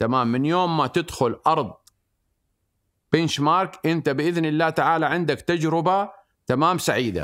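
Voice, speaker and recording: Recorded very cleanly over a silent background, a man speaks at a moderate pace and fairly high pitch, his loudness very even and his pitch variation ordinary. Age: 60s. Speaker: event company founder. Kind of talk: interview. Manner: animated.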